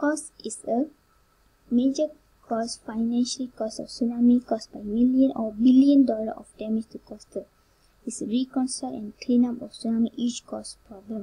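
The tone is dark and mellow, with big swings in loudness. The pace is moderate and the intonation fairly even. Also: woman, high pitch for a woman. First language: not English. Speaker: university student presenter. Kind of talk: class presentation. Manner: halting.

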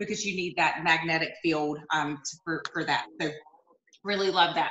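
Audible room echo surrounds the voice. It belongs to a woman. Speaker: direct sales cooking consultant. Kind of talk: product demonstration. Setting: video call. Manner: casual, with many fillers. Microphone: video call.

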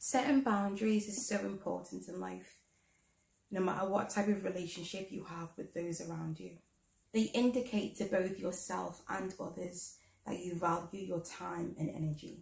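A woman at a moderate pace, with vocal fry, ordinary pitch variation and audible room echo. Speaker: guest. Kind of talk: advice talk to camera. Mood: calm, earnest. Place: home room. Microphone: camera far.

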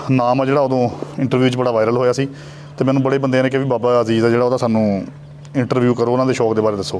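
A man speaks in a monotone, flat intonation. Light background noise can be heard. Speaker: pigeon channel host and interviewer. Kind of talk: casual talk to camera intro. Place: farm. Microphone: lapel.

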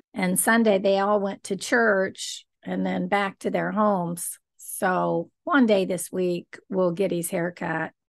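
Against a quiet background, a woman speaks very slowly with fairly even intonation. She hardly pauses. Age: 60s. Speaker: psychologist and video blogger; video blogger. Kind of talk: casual vlog narration. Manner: warm, gentle. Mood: warm, friendly. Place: home room. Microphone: studio mic.

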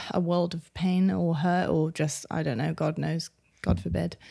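A woman talks at a moderate pace in an unremarkable speaking voice. Her pitch is fairly low, with ordinary pitch variation. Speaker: podcast co-host. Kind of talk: casual chat.

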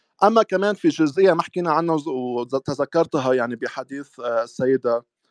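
Against a quiet background, a man with a fairly high pitch uses lively intonation, the sound dry with no echo. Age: young. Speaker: Druze religious researcher; interview guest. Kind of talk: casual chat. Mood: critical, argumentative. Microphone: video call.

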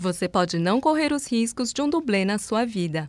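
Pitched fairly high, a woman speaks at a moderate pace with very wide pitch swings. The recording is very clean, with a silent background. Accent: Brazilian. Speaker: voice actor. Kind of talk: TV commercial read.

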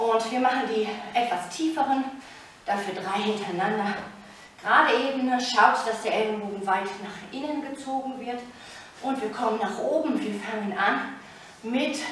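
A woman speaks with ordinary pitch variation and long, frequent pauses, amid strong room echo and light background noise. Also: moderate pace. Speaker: fitness instructor. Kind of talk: workout coaching with counting. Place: home room. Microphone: camera far.

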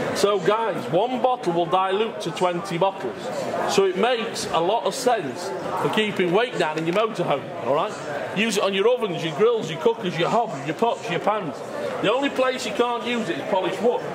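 Over noticeable background noise, a man talks with ordinary pitch variation. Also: moderate pace. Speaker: product demonstrator. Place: hall.

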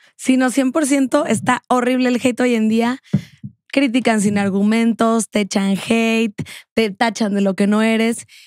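A woman's animated, fairly slow delivery, dry with no echo, over a quiet background. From Mexico. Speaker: podcast host. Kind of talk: interview. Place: studio. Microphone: studio mic.

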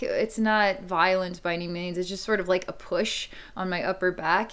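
Fairly even intonation marks speech delivered at a moderate pace. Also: woman. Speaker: psychic reader. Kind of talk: psychic reading monologue. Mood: calm, reflective. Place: home room. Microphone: webcam.

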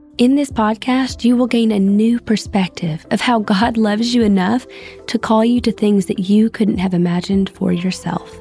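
A woman at a fairly high pitch and moderate pace, her intonation fairly even and her loudness very even, with music in the background. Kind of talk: devotional podcast monologue. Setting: podcast recording.

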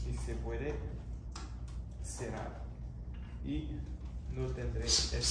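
Loud background noise and audible room echo surround a man as he speaks. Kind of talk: tutorial. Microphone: camera far.

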